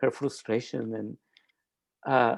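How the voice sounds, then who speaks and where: A man speaks at a fairly slow pace with vocal fry against a quiet background. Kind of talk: panel testimony. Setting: live-streamed panel. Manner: halting, with many repetitions.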